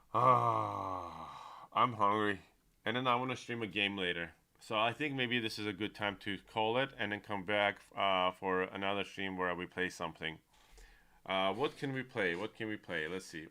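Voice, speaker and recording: This man speaks at a fairly low pitch with a non-native accent. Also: ordinary pitch variation, moderate pace. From United States. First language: not English. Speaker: streamer. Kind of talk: live stream chat. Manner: animated.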